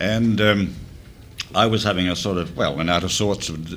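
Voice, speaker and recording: Over noticeable background noise, a man speaks at a moderate pace in a fairly low voice with ordinary pitch variation. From Australia. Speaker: former offshore radio DJ. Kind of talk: reunion panel reminiscing. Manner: halting, many fillers.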